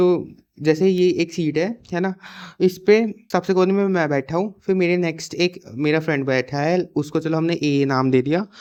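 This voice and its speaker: A man speaks at a moderate pace in a fairly high pitch. His intonation is fairly even. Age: young. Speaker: YouTube storyteller. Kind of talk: casual storytime to camera. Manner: casual, chatty.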